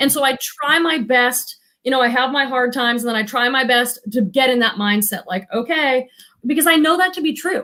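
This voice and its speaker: Raised and projected, a woman's high voice has a bright, sharp tone and moves at a fairly quick pace. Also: ordinary pitch variation. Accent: American. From Boston area. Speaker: psychotherapist and reseller. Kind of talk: casual chat. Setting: live stream video call.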